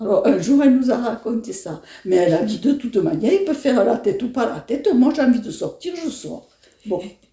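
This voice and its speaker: A woman speaks in a high voice with very wide swings in pitch. Her pace is fairly quick. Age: 70s. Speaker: elderly interviewee. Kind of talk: interview. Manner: halting.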